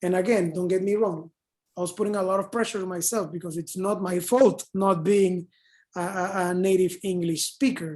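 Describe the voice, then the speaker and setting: At a moderate pace, a woman speaks in a Spanish accent with medium pitch. Her tone is dark and mellow, and the background is quiet. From Panama. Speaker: advertising copywriter. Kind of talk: online panel Q&A. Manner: animated, many fillers.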